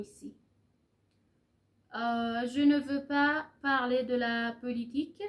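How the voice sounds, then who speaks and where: A woman with a high pitch talks with fairly even intonation. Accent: Persian. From Iran. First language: Persian (speaking French). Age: 30s. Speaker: French teacher. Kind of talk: casual vlog in learner French. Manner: halting, many hesitations.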